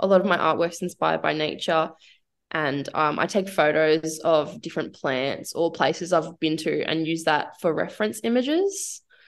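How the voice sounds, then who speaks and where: An unremarkable speaking voice at a moderate pace, with ordinary pitch variation and a quiet background. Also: woman, fairly low pitch for a woman. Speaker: singer-songwriter and painter. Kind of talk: casual radio interview. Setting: radio studio.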